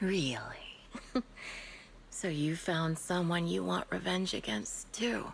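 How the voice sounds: Using a put-on character voice, a woman speaks slowly with vocal fry and lively intonation. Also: fairly low pitch for a woman.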